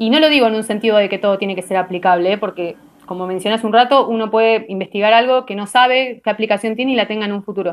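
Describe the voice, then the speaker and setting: A plain, everyday voice from a woman, fairly high in pitch, with ordinary pitch variation and a quiet background. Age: 30s. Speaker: biochemist and doctoral researcher. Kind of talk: casual interview.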